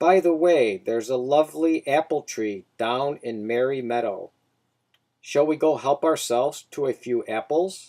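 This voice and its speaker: A man puts on a character voice at a moderate pace in a very clean recording with a silent background. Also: fairly high pitch for a man. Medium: read story. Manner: sly, coaxing.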